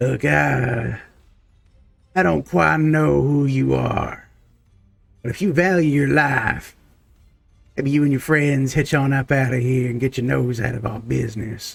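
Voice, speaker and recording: A man puts on a character voice that is gruff and raspy at a medium pitch. He speaks at a fairly slow pace with long, frequent pauses. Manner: threatening, warning.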